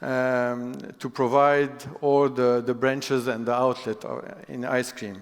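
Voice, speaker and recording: A man speaking very slowly, with audible room echo. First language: not English. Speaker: business executive. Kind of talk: keynote talk. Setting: stage with audience. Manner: halting.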